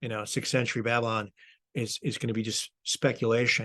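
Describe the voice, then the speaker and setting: A man with an American accent speaks at a fairly quick pace in a medium pitch. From US Midwest. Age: 60s. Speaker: author and college teacher. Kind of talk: radio interview. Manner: halting, many repeated words.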